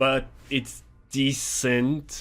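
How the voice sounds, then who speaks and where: Over music in the background, a man speaks with a non-native accent. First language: not English. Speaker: gaming youtuber. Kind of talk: game tutorial. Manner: halting; casual.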